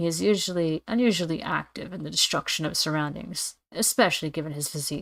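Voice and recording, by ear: Putting on a character voice, a woman talks fast in a low pitch with a fairly bright tone, vocal fry, and fairly even intonation.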